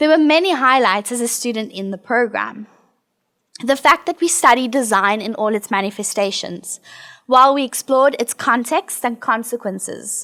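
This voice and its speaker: With a South African accent, a woman speaks at a moderate pace in a high pitch, using a bright, sharp tone and ordinary pitch variation. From South Africa, Johannesburg. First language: not English. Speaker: alumna designer and researcher. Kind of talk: prepared presentation.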